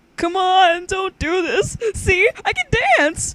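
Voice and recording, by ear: Putting on a character voice, a woman speaks at an extremely high pitch and a fairly slow pace.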